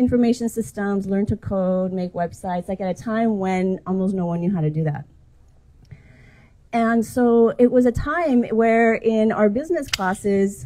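Her tone dark and mellow, a woman talks at a moderate pace with ordinary pitch variation. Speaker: speaker. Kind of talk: public talk. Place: street.

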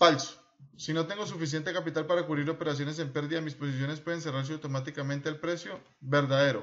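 At a very fast pace, a man with a fairly high pitch keeps his intonation fairly even. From Colombia. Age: 30s. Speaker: trading instructor. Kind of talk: screen-recorded tutorial. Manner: informal, conversational.

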